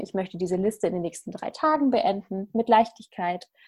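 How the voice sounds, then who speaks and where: A woman with an ordinary speaking voice talks at a moderate pace and medium pitch with ordinary pitch variation. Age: 30s. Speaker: life coach. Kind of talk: casual interview chat.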